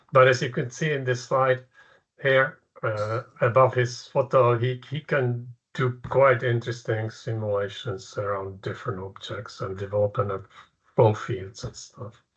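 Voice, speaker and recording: A man with a Czech accent speaks at a fairly slow pace, his voice somewhat breathy. The background is quiet. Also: medium pitch for a man, fairly even intonation. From Czechoslovakia. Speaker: professor. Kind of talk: lecture. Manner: halting.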